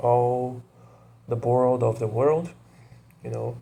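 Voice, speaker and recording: With a Portuguese accent, a man speaks in a medium-pitched, somewhat breathy voice with a dark, mellow tone. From Brazil. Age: 20s. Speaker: vlogger. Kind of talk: casual monologue to camera. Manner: hesitant, many fillers.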